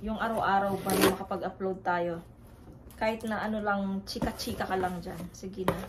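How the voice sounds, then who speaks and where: A woman speaks at a moderate pace in a medium pitch, her intonation flat and monotone. Noticeable background noise and audible room echo fill the recording. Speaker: family vlogger. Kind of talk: casual vlog talk. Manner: halting, many fillers.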